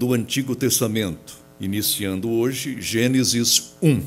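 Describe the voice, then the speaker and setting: Music plays in the background. Over it, a man talks at a very slow pace. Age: 60s. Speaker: pastor. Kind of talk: sermon. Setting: church auditorium. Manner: formal.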